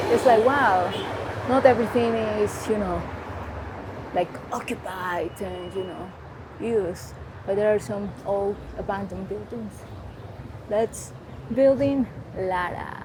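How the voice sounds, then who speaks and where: A woman with a Mexican accent at a fairly slow pace, with long, frequent pauses, big swings in loudness, ordinary pitch variation, audible room echo and noticeable background noise. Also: medium pitch for a woman. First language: Spanish. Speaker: travel vlogger. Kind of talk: walking tour narration. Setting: outdoors, city street. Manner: casual, hesitant with fillers.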